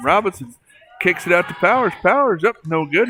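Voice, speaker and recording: A man's fairly quick, lively-intoned speech with noticeable background noise. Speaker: sports play-by-play announcer. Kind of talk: live commentary. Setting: school gymnasium.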